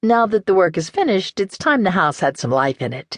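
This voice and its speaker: A female-sounding put-on character voice at medium pitch and a fairly quick pace. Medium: read story. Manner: warm, homey.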